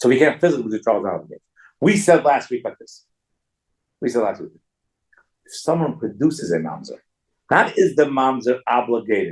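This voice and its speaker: A man's voice with very wide pitch swings and big jumps in loudness, vocal fry, a fairly quick pace, and long, frequent pauses. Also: medium pitch for a man. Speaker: rabbi teaching a Talmud class. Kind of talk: lecture. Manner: fast.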